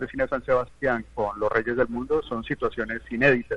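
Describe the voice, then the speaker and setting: His pitch is medium for a man. He talks at a very fast pace. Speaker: film and culture expert. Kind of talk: radio panel discussion.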